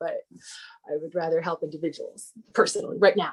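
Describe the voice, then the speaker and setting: A woman speaks at a very fast pace. Her intonation is lively. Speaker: printmaker. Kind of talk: lecture Q&A.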